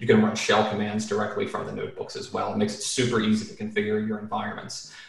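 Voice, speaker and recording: A man is speaking with noticeable background noise. Audible room echo surrounds his voice. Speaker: computer vision educator and entrepreneur. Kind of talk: podcast interview. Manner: casual, with many fillers.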